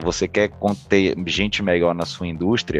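The speaker has a Bahian accent. Delivery is at a moderate pace with fairly even intonation. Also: man. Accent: Bahian Brazilian Portuguese. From Bahia, Brazil. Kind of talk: casual interview.

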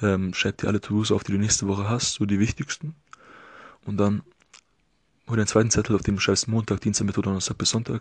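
Heard dry and close with no echo, a man talks at a very fast pace with fairly even intonation, broken by long, frequent pauses. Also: quiet background. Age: 20s. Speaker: podcast host, occupational therapy student. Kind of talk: solo podcast monologue. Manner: casual, filler-heavy.

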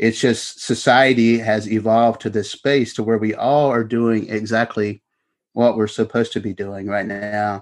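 With a Kentucky accent, a man talks at medium pitch and a moderate pace in a monotone, flat intonation against a quiet background. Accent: Kentucky Southern US. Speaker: author. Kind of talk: interview.

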